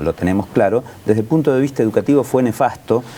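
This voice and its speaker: A man with lively intonation talks at a fairly quick pace, with noticeable background noise behind him. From Argentina, Buenos Aires coast (Pinamar area). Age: 60s. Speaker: local political candidate. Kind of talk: political discussion.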